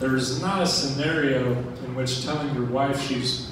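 A man is speaking amid noticeable background noise. Strong room echo surrounds his voice. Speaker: stand-up comedian. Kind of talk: stand-up comedy set. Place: stage. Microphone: pa.

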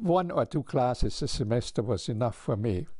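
Against a quiet background, a man speaks at a moderate pace in a dark, mellow tone. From Austria. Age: 80s+. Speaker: physicist and retired hematologist. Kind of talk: interview answer. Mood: happy, proud. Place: home room. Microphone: lapel.

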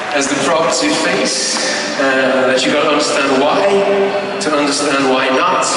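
Over noticeable background noise, a man speaks at a fairly slow pace in a monotone, flat intonation. Strong room echo fills the recording. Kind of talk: speech to concert audience. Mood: earnest, grateful. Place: stage.

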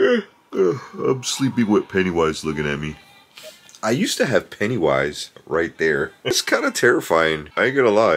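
A man's voice moves at a moderate speed while music plays behind him. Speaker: vlogger. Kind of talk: casual vlog chat. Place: home room. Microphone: phone near.

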